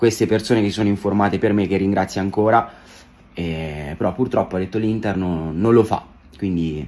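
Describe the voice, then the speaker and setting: At a moderate pace, a man with a very deep, low pitch speaks with ordinary pitch variation and long, frequent pauses. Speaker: social media creator. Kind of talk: casual vlog chat. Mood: slightly disappointed but warm. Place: home room. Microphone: phone near.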